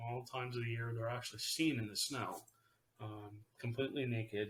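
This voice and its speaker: The voice is somewhat breathy and delivered in a flat monotone. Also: man. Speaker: paranormal podcast host. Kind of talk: casual solo podcast talk. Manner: hesitant, many fillers.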